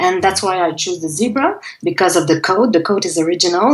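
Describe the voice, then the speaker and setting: A woman's medium-pitched voice in a Quebec accent, with ordinary pitch variation. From Quebec (Montreal). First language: French. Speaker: singer-songwriter. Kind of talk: interview.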